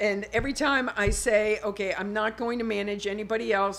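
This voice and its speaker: Amid noticeable background noise, a woman speaks in an animated tone at a medium pitch and moderate pace. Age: 60s. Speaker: modeling agent and manager. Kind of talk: podcast interview.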